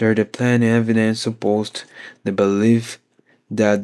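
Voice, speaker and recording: A man at medium pitch, with a non-native accent, talks in a flat monotone over a silent background on a very clean recording. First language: not English. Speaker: podcast host reading a book aloud. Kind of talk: reading aloud. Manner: halting.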